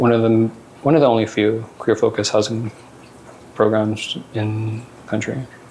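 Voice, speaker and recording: Moderate pace and monotone, flat intonation over noticeable background noise. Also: man. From northern Manitoba, Cree Nation. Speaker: housing systems navigator. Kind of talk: conference panel talk. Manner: casual, hesitant.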